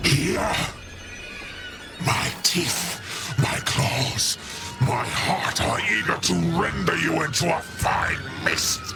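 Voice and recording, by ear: A man's put-on character voice, fairly high in pitch and slow, with vocal fry and lively intonation, amid clear background music and audible room echo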